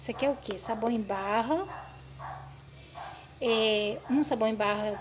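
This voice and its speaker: The pitch variation is ordinary in this woman's voice. Background noise is noticeable. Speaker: home cleaning tips vlogger. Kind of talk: tutorial. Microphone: phone near.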